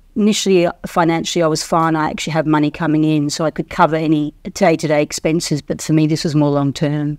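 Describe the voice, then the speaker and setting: Talking very fast with hardly any pauses, a woman with an Australian accent keeps a very deep, low pitch and a monotone, flat intonation. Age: 50s. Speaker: investing course client. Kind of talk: testimonial interview.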